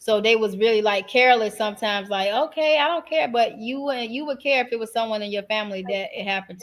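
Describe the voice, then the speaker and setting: The speech runs at a very fast pace with hardly any pauses, ordinary pitch variation and big swings in loudness. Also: woman, fairly high pitch for a woman. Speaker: podcast co-host. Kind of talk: casual chat.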